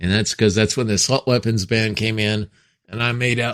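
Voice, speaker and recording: This man talks at a fairly quick pace with a medium pitch and fairly even intonation. He has an unremarkable speaking voice. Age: 60s. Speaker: gun podcast co-host. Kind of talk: casual chat.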